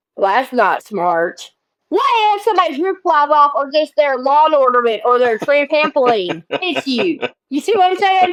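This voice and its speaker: A woman with a Southern US accent speaks in an animated tone at a moderate pace, her high pitch making very wide swings. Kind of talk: casual podcast conversation. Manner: animated, teasing.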